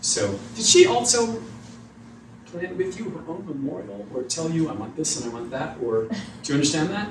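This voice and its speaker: The speaker's intonation is lively and the pace moderate, with noticeable background noise present. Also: man. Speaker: psychic medium. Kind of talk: live mediumship demonstration to audience. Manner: hesitant, conversational.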